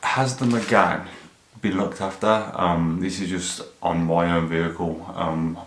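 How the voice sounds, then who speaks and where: A man mumbles with an English accent at a very deep, low pitch, with audible room echo and noticeable background noise. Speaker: car YouTuber. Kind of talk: casual vlog. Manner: monotone; mumbling.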